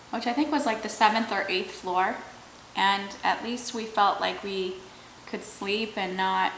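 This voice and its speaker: An American accent at a fairly slow pace, with audible room echo and noticeable background noise. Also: woman. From Michigan, US. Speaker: YouTuber, mukbang host. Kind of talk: casual story time while eating.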